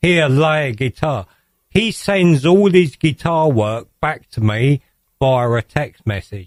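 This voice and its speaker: Dry and close with no echo, a man's fairly high voice moves at a very slow pace with lively intonation. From England. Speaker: electronic music producer. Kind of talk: radio interview.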